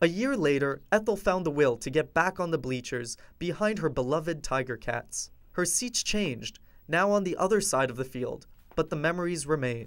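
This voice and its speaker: A man has an unremarkable speaking voice at a fairly high pitch. He uses lively intonation and keeps a moderate pace. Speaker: TV news reporter. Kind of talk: TV news feature narration.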